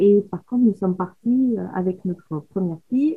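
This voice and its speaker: A woman talks with lively intonation at a very slow pace. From Paris, France. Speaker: photographer. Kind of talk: casual chat. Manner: sing-song southern intonation.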